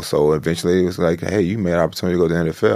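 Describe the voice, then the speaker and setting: A man with an American accent speaks in a very deep, low pitch with vocal fry and ordinary pitch variation. The recording is very clean, and the background is silent. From Chicago South Side. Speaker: actor and former football player. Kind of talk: interview.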